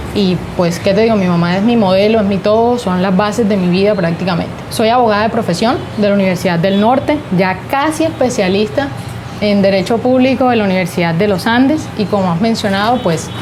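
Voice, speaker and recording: Spoken with a Colombian Caribbean accent at a fairly quick pace, the voice has ordinary pitch variation and very even loudness. Noticeable background noise and audible room echo are present. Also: woman, medium pitch for a woman. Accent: Colombian Caribbean (costeño) Spanish. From Colombian Caribbean coast, Arjona, Bolívar. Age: 20s. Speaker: lawyer and regional politician. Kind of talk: interview. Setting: sitting in a rocking chair, Cartagena.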